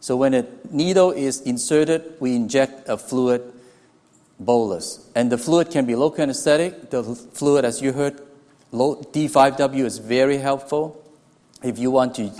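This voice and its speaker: Speaking with a Hong Kong accent, a man uses a dark, mellow tone at medium pitch, a moderate pace and ordinary pitch variation. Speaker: anesthesiology professor. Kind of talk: lecture. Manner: halting, with restarts.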